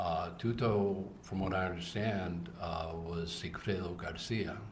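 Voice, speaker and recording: Over noticeable background noise and audible room echo, a man with a very deep, low pitch talks at a fairly slow pace with fairly even intonation. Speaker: trial witness, undercover operative. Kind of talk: courtroom testimony. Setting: courtroom. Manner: halting.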